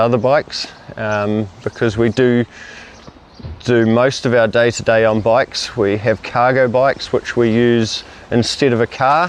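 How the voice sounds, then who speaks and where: A man with a New Zealand accent talks at a fairly slow pace, medium pitch and fairly even intonation, with noticeable background noise. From New Zealand, Rotorua. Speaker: family cycling vlogger, parent. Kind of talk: casual chat.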